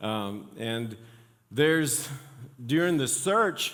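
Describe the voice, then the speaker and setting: With a non-native accent, a man talks at a fairly slow pace using lively intonation, his voice carrying audible room echo. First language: not English. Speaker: pastor. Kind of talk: sermon. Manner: halting, many fillers.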